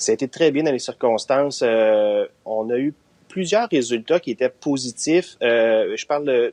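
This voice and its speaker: With an unremarkable speaking voice, a man talks at a fairly slow pace with a fairly high pitch and lively intonation, the sound dry and close with no echo. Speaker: residence deputy director. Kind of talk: interview answer.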